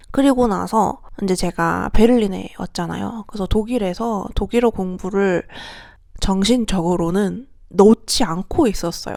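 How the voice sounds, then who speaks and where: In a very clean recording with a silent background, a woman with a dark, mellow tone speaks at a medium pitch and a fairly slow pace, her pitch varying in an ordinary way. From South Korea. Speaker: vlogger. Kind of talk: casual vlog monologue.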